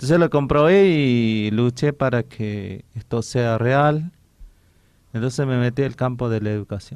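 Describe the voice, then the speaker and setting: A man speaks at a fairly slow pace. His medium pitch shows ordinary variation. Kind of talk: radio interview. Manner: halting, with many restarts.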